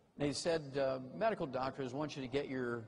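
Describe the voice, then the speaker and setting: A somewhat breathy man's voice of medium pitch, with ordinary pitch variation, at a moderate pace. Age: 70s. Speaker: health lecturer. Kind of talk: lecture. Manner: animated.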